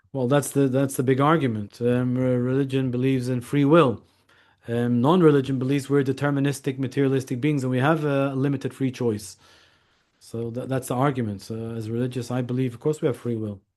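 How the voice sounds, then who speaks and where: Fairly quick and fairly even in intonation, a man talks at medium pitch. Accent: Scottish. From Scotland. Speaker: lawyer and author. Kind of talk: interview. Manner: halting.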